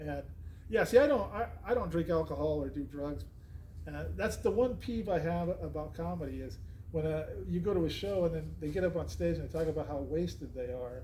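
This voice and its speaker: A man talks at a fairly quick pace, and audible room echo is present. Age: 60s. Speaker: podcast host and comedian. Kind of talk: casual chat. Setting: comedy club.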